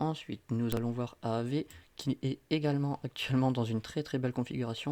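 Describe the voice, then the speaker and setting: Medium pitch from a man, dark and mellow in tone, intonation fairly even. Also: dry, close sound with no echo. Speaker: crypto market analyst. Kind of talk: market analysis commentary. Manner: fast; hesitant with fillers.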